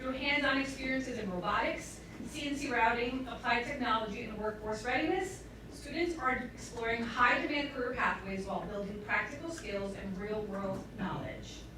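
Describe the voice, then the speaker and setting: Against noticeable background noise and audible room echo, a woman talks at a fairly quick pace in a high pitch with ordinary pitch variation. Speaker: school district administrator. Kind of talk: board meeting presentation. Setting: public board meeting. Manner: fast.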